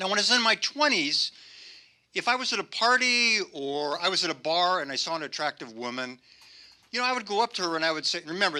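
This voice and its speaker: A man with a high voice and a bright, sharp tone speaks at a fairly quick pace. His voice is raised and projected, and his pitch swings very widely. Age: 70s. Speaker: amateur stand-up comedian. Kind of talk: stand-up. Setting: stage with audience.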